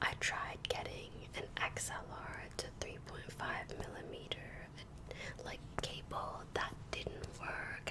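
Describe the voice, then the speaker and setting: The speaker whispers at a very slow pace amid noticeable background noise. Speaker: ASMR creator and gamer/streamer. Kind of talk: soft-spoken ASMR rant to camera. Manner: soft-spoken, whispered.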